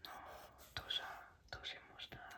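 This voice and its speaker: A woman is whispering. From France. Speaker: ASMR creator. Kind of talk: ASMR reading of language textbook. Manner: soft-spoken.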